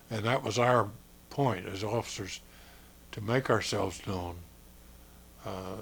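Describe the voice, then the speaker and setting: In an American accent, a man talks at a fairly slow pace in a fairly low, somewhat breathy voice with fairly even intonation. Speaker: war veteran. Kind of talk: interview answer.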